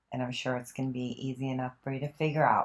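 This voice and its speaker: A woman talks in a very deep, low pitch with monotone, flat intonation. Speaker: voice channeler and hypnotherapist. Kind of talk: casual talk to camera.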